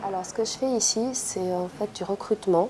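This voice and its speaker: With a dark, mellow tone, the woman talks at a medium pitch. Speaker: intern. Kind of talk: interview. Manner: hesitant, many fillers.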